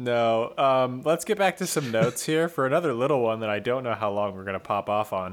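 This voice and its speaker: An ordinary speaking voice from a man with an American accent, medium in pitch, with lively intonation, a fairly quick pace, hardly any pauses, and a very clean recording against a silent background. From rural California. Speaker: podcast co-host. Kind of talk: casual chat.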